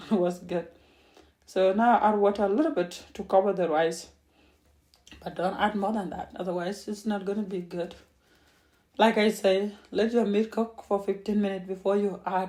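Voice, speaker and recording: Using a non-native accent, a woman speaks at a moderate pace with medium pitch, fairly even intonation, a dark, mellow tone and long, frequent pauses. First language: not English. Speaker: home cook. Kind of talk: cooking tutorial. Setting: home kitchen. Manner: halting.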